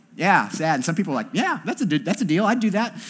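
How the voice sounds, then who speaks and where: Backed by music, a man with a high-pitched voice speaks with lively intonation. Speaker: campus pastor. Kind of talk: sermon. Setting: church service with congregation. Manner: casual, conversational.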